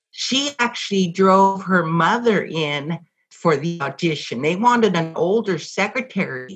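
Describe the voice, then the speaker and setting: This woman speaks at a fairly slow pace and a medium pitch. Her intonation is lively. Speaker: former TV extra and caller. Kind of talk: casual chat.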